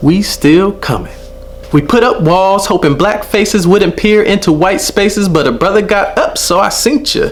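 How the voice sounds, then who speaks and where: Over noticeable background noise, a man with a high pitch talks at a moderate pace, keeping his loudness very even and his pitch variation ordinary. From Los Angeles area, Southern California. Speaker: spoken word poet, teacher. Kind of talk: spoken word performance. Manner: rhythmic, emphatic.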